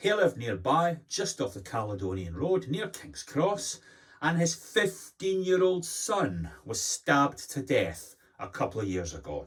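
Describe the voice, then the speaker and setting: With a Glasgow accent, a man speaks at a fairly slow pace, his fairly high voice somewhat breathy. His pitch swings very widely. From Scotland, Glasgow. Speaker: commentator. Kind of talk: opinion monologue. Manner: animated.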